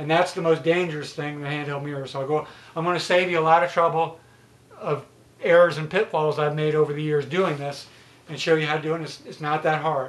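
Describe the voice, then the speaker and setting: Fairly high in pitch, a man speaks at a fairly quick pace. His intonation is monotone and flat. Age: 50s. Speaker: YouTuber. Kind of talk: tutorial. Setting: home, self-filmed. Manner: casual, hesitant with fillers. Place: home room. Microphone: camera far.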